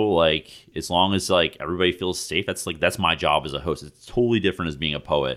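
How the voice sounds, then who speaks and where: With an American accent, this voice moves at a fairly quick pace and carries vocal fry. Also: man. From New Jersey, Jersey Shore. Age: 30s. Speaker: poet. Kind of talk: poetry reading; casual chat.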